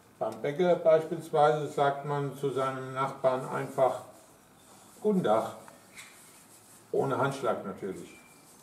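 A man talks at a very slow pace with long, frequent pauses. Audible room echo surrounds his voice. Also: ordinary pitch variation. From Upper Hesse, Germany. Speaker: dialect presenter. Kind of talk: educational explanation to camera. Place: garden. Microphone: camera far.

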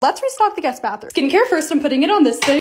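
The woman speaks very fast. Noticeable background noise can be heard. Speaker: lifestyle video creator. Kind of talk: vlog narration. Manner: animated.

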